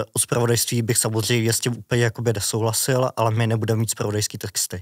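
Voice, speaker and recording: In a dry, close sound with no echo, a man talks at a very fast pace with medium pitch, monotone, flat intonation and very even loudness. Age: 30s. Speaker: journalist. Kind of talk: interview.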